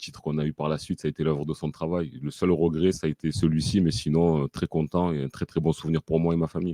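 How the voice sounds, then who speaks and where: A man's very deep, low voice has a dark, mellow tone and fairly even intonation, recorded dry and close with no echo. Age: 40s. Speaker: football fan, son of a former club president. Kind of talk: interview. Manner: hesitant, many fillers.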